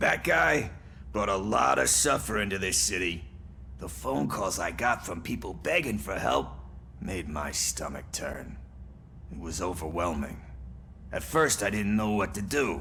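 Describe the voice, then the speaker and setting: In a put-on character voice, a man speaks raspy and at a very deep, low pitch, at a moderate pace with long, frequent pauses and clear background noise. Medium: video game. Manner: sarcastic, wry.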